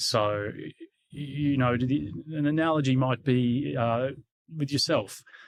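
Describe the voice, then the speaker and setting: A man with an Australian accent, medium pitch and fairly even intonation. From Australia, Canberra. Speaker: security executive. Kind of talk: interview. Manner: halting.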